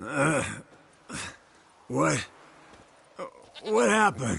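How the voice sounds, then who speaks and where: A raspy, medium-pitched put-on character voice from a man. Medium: video game.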